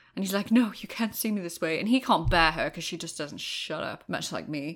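A woman speaks with vocal fry, her pitch swinging very widely. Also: very clean recording, silent background. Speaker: podcast co-host, newcomer to the franchise. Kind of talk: casual chat.

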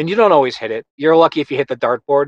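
The sound is dry and close with no echo as a man with a Western New York accent speaks at a fairly high pitch with ordinary pitch variation. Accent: Western New York American. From Buffalo, New York. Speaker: animation director and producer. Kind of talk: interview conversation. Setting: studio.

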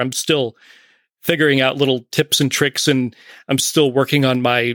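A man talks at a medium pitch with fairly even intonation, in an ordinary speaking voice. The sound is dry and close, with no echo. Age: 40s. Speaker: podcaster guest. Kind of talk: casual chat.

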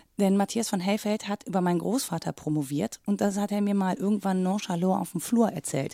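A woman speaks at a medium pitch with a dark, mellow tone, moving at a fairly quick pace with hardly any pauses. The sound is dry and close, with no echo. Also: ordinary pitch variation. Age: 40s. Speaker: radio journalist and podcaster. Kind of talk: casual chat.

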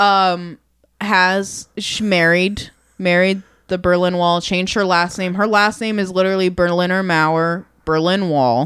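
Recorded very cleanly against a silent background, a woman with an ordinary speaking voice talks at a fairly slow pace, her medium pitch moving in fairly even intonation. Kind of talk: casual chat. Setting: bar back room, recording.

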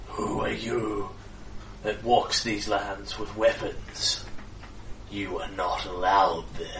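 Growling in a put-on character voice, a man speaks at a fairly low pitch and a very slow pace. Long, frequent pauses break up the speech over loud background noise. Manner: menacing, accusing.

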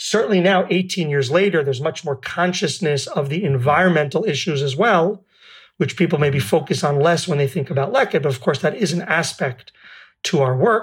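This speaker has a New York accent and ordinary pitch variation. The pace is fairly quick. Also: man, fairly high pitch for a man. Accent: New York American. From New York City. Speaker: food bank founder. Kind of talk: casual interview chat. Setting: video call. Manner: down to earth, humorous.

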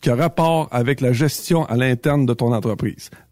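In a Quebec accent, a man speaks in a very clean recording with a silent background and a dry, close sound with no echo. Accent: Québécois French. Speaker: trucking industry columnist. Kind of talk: casual chat. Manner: halting.

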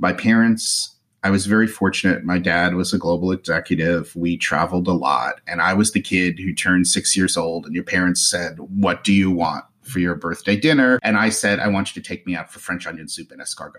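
With an American accent, a man speaks at a fairly quick pace in a very deep, low pitch with ordinary pitch variation. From New Jersey. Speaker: luxury travel and casino loyalty blogger, podcaster. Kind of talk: casual interview chat.

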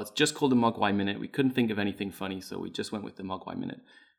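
This man speaks with a British accent. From Britain. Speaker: podcast guest. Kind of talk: casual chat.

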